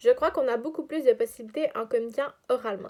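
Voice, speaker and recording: The woman speaks at a fairly quick pace with ordinary pitch variation. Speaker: student teacher. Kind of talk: scripted narration. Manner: fast.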